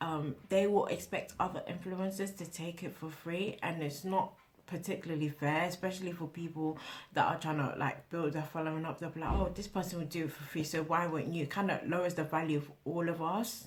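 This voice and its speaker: Speaking at a fairly quick pace, a woman uses a fairly low pitch and fairly even intonation. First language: not English. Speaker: small influencer, vlogger. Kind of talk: casual vlog monologue. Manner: halting, with repeated words and fillers.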